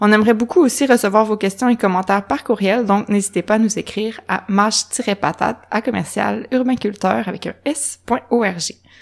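Speaking at a moderate pace, a woman leaves hardly any pauses. Her fairly high pitch shows ordinary variation. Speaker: podcast host. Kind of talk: casual interview; scripted intro.

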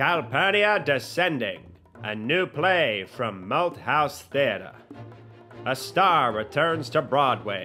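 Music plays behind a man who talks at a very slow pace with very wide pitch swings. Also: fairly high pitch for a man. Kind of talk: movie trailer.

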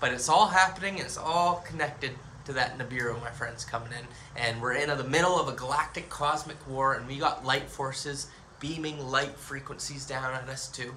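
A man speaks at a medium pitch and moderate pace in an animated tone, with ordinary pitch variation. Light background noise can be heard. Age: 30s. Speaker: YouTuber on spirituality and aliens; YouTuber on spirituality. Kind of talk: monologue video. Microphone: phone near.

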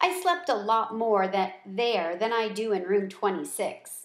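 The speech is plain reading aloud with lively intonation.

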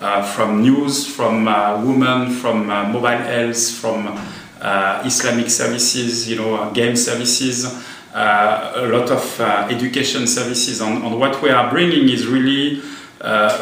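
A man's monotone, flat delivery at a fairly slow pace, with audible room echo. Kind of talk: interview answer. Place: office.

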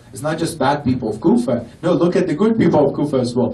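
Audible room echo surrounds a man who speaks at a fairly quick pace in a passionate tone with lively intonation. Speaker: Shia lecturer. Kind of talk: Muharram sermon lecture. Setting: mosque gathering with audience. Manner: fervent, emotional, passionate, preacherly. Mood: emotional lament at end. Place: hall.

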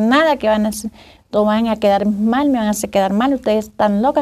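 A woman's fairly high-pitched voice, dark and mellow in tone, with fairly even intonation. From Colombia, Córdoba department; Colombia. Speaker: community activist, displaced women's organizer; interview guest. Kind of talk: interview. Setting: studio. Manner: halting. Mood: earnest, recounting hardship. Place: studio. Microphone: lapel.

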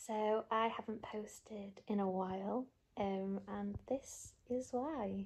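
Over light background noise, a woman talks at a very slow pace. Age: 20s. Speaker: IT project leader and new mother. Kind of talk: casual talk to camera. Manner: hesitant, filler-heavy. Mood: soft, calm, happy. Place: home room. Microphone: phone near.

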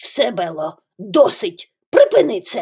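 Growling in a put-on character voice, a woman speaks at a medium pitch and a fairly slow pace. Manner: angry, scolding.

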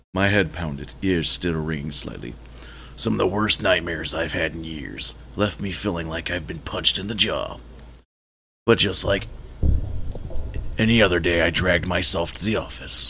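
A man in a put-on character voice speaks at a moderate pace with long, frequent pauses, his raspy, very deep pitch carrying a weary tone. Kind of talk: hard-boiled voice-over. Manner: gloomy, world-weary.

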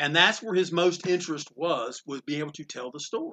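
With a North Carolina accent, the speaker talks at a moderate pace in a bright, sharp, animated tone with lively intonation. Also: man. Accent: Southern US, small-town North Carolina. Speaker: comic book store owner. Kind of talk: interview storytelling. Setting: comic book store. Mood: warm, amused. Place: shop. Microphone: phone near.

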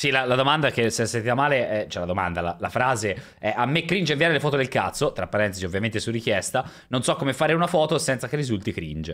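A man speaks at a very fast pace with very wide pitch swings. The background is quiet. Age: 30s. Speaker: streamer. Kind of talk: casual chat. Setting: live stream. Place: home room. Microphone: studio mic.

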